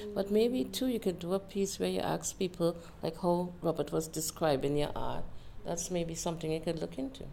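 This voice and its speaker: The speaker goes at a moderate pace with ordinary pitch variation, and noticeable background noise sits behind the voice. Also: woman, fairly low pitch for a woman. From Trinidad and Tobago. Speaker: interviewee. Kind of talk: casual conversation. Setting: library.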